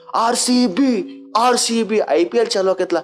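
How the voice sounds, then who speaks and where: A man speaks with music in the background. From North Karnataka, India. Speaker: comedian. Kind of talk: stand-up.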